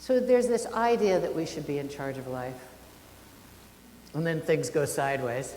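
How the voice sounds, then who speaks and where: Loud and very deep in pitch, a woman speaks with very wide pitch swings and long, frequent pauses amid audible room echo. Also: moderate pace. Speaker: minister. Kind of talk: sermon.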